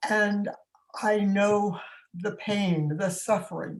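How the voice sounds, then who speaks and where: Somewhat breathy, a woman speaks at a very slow pace. Her medium pitch stays in fairly even intonation. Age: 80s+. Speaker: community activist. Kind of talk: panel discussion.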